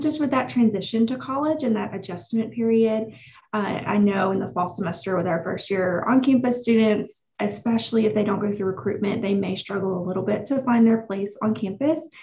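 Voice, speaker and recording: This woman has an unremarkable speaking voice, with ordinary pitch variation and a moderate pace. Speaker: university case manager. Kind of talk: interview, professional chat.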